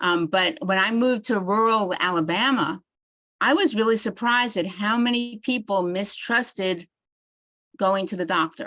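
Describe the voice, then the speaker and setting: A woman with a New York accent, medium pitch and a bright, sharp tone, at a moderate pace with ordinary pitch variation. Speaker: psychiatry doctor giving a continuing education talk. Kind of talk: lecture.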